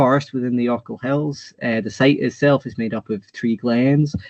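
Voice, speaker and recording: Using a plain, everyday voice, a man talks at a fairly slow pace and a medium pitch, with fairly even intonation. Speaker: researcher giving a talk. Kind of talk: lecture.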